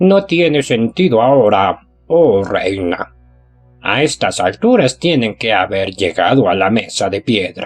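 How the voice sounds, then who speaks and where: A man does a put-on character voice at a medium pitch and a fairly slow pace. Faint music plays in the background. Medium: read story. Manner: grim, deferential.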